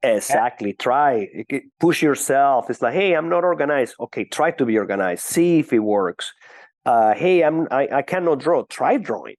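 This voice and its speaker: A man with a Venezuelan accent and lively intonation at a moderate pace, his sound dry and close with no echo over a quiet background. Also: fairly high pitch for a man. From Venezuela (Caracas). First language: Spanish. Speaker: business executive. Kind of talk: podcast interview. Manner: hesitant, frequent fillers.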